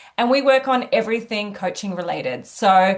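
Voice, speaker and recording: Fairly high in pitch, the woman's voice rises and falls in an ordinary way. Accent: Australian. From Australia, Sydney. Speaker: executive coach. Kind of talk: interview.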